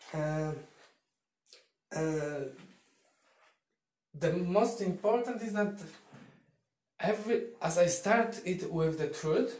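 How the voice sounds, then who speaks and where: Lively intonation in a Polish accent, with audible room echo. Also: man. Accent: Polish accent, non-native English. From Poland. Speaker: YouTuber. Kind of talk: casual vlog monologue. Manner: halting, with fillers and repetitions.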